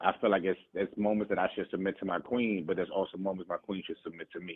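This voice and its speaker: Very fast and monotone, a man talks with flat intonation at a fairly low pitch. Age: 30s. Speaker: caller. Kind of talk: casual chat.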